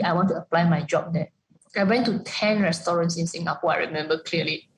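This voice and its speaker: Somewhat breathy, a woman talks at a very fast pace with fairly even intonation. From Malaysia. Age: 30s. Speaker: executive chef. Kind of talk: interview. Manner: halting.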